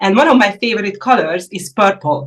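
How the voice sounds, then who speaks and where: A woman with a Hungarian accent, medium pitch, lively intonation, and a moderate pace. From Hungary. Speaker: indie yarn dyer. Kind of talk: casual interview. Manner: halting.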